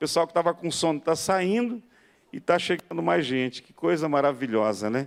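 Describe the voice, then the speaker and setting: The recording of this man's voice is very clean, with a silent background behind him. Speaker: pastor. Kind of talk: lecture. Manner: slow.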